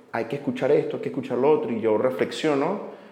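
A man speaks very fast in a fairly high voice with lively intonation. There is noticeable background noise and audible room echo. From Venezuela. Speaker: podcast host. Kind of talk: casual interview. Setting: coworking space.

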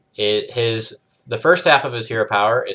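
A man's medium-pitched voice, bright and sharp in tone, at a moderate pace. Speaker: podcast host. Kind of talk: casual chat.

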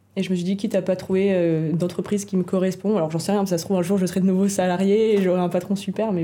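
Her intonation flat and monotone, a woman talks at a very fast pace. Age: 20s. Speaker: fashion brand founder. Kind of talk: casual chat.

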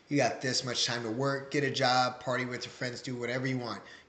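Speaking at a fairly quick pace, a man uses an ordinary speaking voice at medium pitch. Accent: American. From Waterloo, Iowa. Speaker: father, former wrestler, coach. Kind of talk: interview, casual chat.

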